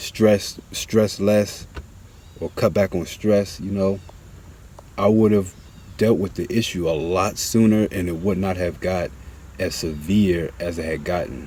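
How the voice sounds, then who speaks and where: Mumbling at a fairly slow pace with long, frequent pauses, a man with a fairly low pitch keeps his intonation fairly even. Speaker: vlogger. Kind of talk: casual monologue. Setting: outdoors. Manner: halting.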